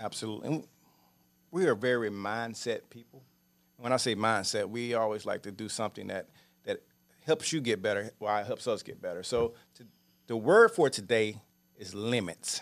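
With a Louisiana accent, a man speaks at a moderate pace and a medium pitch, with ordinary pitch variation, big swings in loudness and long, frequent pauses. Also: very clean recording, silent background. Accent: Louisiana Southern US. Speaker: real estate investor and show co-host. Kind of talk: casual chat. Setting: studio.

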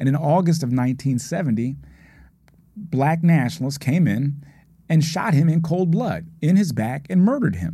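Lively intonation and a dark, mellow tone mark this somewhat breathy voice with an American accent. It moves at a moderate pace, with audible room echo. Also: man, fairly high pitch for a man. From Philadelphia. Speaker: former district attorney. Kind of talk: podcast interview. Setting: studio.

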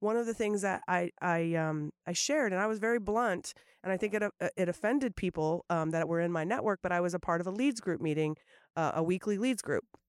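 A woman with a plain, everyday voice speaks at a fairly quick pace and medium pitch, her pitch varying in an ordinary way. The very clean recording has a silent background and a dry, close sound with no echo, and her loudness stays very even. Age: 40s. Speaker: podcast host. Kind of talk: casual chat.

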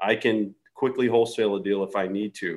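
Heard here is a plain, everyday voice moving at a moderate pace with fairly even intonation. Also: man. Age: 40s. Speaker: real estate investor. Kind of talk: casual chat.

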